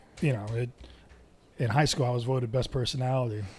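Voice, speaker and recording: Speaking with an American accent, a man sounds somewhat breathy at a medium pitch. His pace is fairly quick. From Southern California. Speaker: podcast guest. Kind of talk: casual chat.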